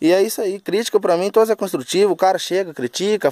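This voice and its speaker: A man speaks at a high pitch and a fairly quick pace with lively intonation. The sound is dry, with no echo. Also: quiet background. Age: 20s. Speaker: backhoe operator vlogger. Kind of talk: casual vlog monologue. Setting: outdoors at a road worksite. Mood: humble, friendly. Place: open country.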